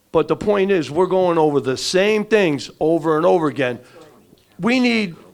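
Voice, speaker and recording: A man's voice has a high pitch and lively intonation. He keeps a moderate pace and very even loudness. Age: 60s. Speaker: resident speaking at public forum. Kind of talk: public comment at community meeting. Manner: animated, frustrated.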